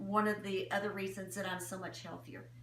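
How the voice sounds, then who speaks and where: Noticeable background noise runs through the clip. Room echo is audible as well. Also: woman. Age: 70s. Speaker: customer giving product testimonial. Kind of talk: testimony.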